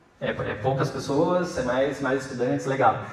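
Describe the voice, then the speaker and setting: A man's voice at a moderate pace, with audible room echo and noticeable background noise. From Rio Grande do Sul, southern Brazil. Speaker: entrepreneur and guest speaker. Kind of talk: lecture to students. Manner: halting, many fillers and repetitions.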